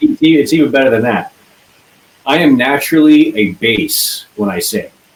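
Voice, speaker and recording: With lively intonation and a moderate pace, this is a normal speaking voice. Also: man, fairly high pitch for a man. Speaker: band singer. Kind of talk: casual interview.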